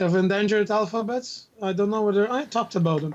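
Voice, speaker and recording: A man with a Russian accent at a fairly quick pace, high in pitch with ordinary pitch variation, amid noticeable background noise. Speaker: university instructor and linguist. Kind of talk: casual chat.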